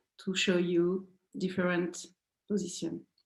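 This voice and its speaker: A woman speaks in a French accent. Her pitch is medium and her pace fairly slow. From France. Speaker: dance teacher. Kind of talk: dance tutorial. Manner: halting.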